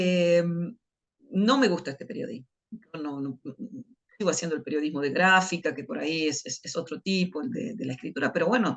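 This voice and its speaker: A woman speaks with lively intonation and big swings in loudness. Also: fairly low pitch for a woman, fairly quick pace. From Argentina, Buenos Aires province (Dolores). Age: 60s. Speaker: journalist and writer. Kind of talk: interview. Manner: halting.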